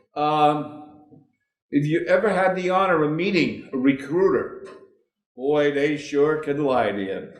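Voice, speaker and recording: The speech moves at a fairly slow pace with ordinary pitch variation, and audible room echo can be heard. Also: man, fairly high pitch for a man. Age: 70s. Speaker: war veteran. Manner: animated.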